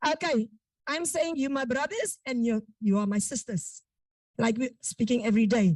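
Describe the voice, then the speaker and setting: Loud and high-pitched, a woman with a South African accent speaks with lively intonation in a dry, close sound with no echo. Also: moderate pace. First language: Afrikaans. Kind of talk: public testimony at meeting. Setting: virtual meeting. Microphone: too quiet at first.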